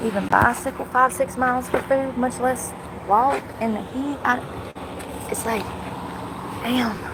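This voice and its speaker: A woman with a high pitch speaks in a monotone, flat intonation, leaving long, frequent pauses, with noticeable background noise behind her. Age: 30s. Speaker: homeless livestreamer. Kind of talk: casual livestream monologue. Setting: outdoors in the heat. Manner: fast.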